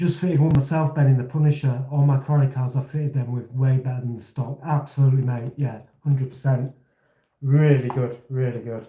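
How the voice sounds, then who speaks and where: A man with a Yorkshire accent speaks at a medium pitch in a dark, mellow, somewhat breathy tone. His pace is fairly quick and his intonation monotone and flat. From Leeds, northern England. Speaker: RC hobby livestreamer. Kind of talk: casual chat. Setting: livestream.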